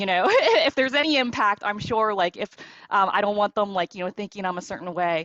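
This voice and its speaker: Recorded dry and close with no echo against a quiet background, a woman speaks at a medium pitch with ordinary pitch variation. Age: 20s. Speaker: tech worker and mentee. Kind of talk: panel discussion testimony. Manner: fast; filler-heavy, many likes and ums.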